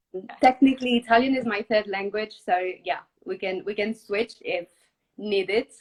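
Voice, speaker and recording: With a French accent, a woman talks at a moderate pace and a fairly high pitch, with ordinary pitch variation and a dry, close sound with no echo. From southwest France. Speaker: startup co-founder and art director. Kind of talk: interview.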